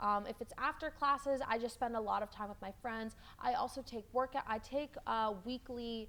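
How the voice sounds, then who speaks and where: Loud and bright with a sharp tone, a woman speaks at fairly high pitch. She keeps a moderate pace with ordinary pitch variation and hardly any pauses. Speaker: college student. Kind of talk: interview. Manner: halting.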